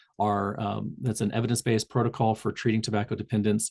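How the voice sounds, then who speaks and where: A man talks fairly quickly at a medium pitch, his intonation fairly even. It is a plain, everyday voice. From Southern Indiana, US. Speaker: public health tobacco cessation trainer. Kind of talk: online community call presentation. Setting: video call. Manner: frequent fillers and self-corrections.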